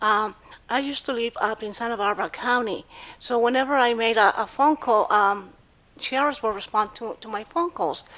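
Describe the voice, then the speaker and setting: On a very clean recording with a silent background, a woman with a Spanish accent speaks at a moderate pace in a fairly high, bright, sharp voice with ordinary pitch variation. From Mexico City, Mexico. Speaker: domestic violence survivor. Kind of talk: personal testimony. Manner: halting, many fillers.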